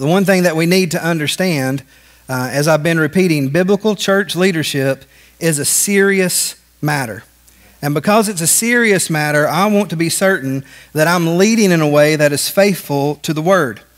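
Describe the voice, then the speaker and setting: Against a quiet background, a man with a high voice speaks at a moderate pace with ordinary pitch variation. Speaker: pastor. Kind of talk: sermon. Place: church. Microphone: podium.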